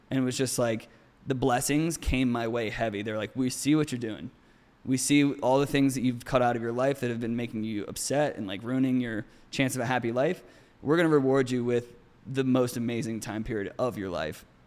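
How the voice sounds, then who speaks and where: At a fairly quick pace, a man speaks in a normal speaking voice with medium pitch and fairly even intonation. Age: 30s. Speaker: model. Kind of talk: casual chat.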